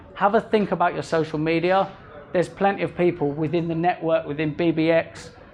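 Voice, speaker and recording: Over noticeable background noise, a man talks at a fairly quick pace in a high pitch with fairly even intonation. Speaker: social media consultant giving a talk. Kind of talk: presentation to business owners. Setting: restaurant event with live audience. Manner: fast. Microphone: recorded on mobile phone in pocket.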